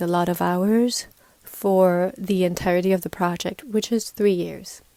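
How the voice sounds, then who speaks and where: A normal speaking voice from a woman at medium pitch, fairly slow and fairly even in intonation, dry and close with no echo. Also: very clean recording, silent background. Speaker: podcast host. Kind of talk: personal podcast monologue. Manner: reflective, warm, conversational.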